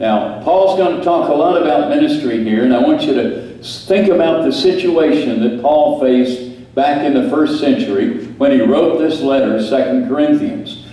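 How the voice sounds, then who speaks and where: A man's voice holds a very even loudness amid strong room echo. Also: moderate pace, hardly any pauses. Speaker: preacher. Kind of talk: sermon. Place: church.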